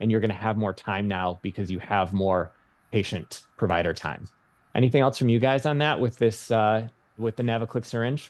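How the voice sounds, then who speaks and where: A man speaks with a Michigan accent. His pitch sits fairly low. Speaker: nurse practitioner. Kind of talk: webinar presentation.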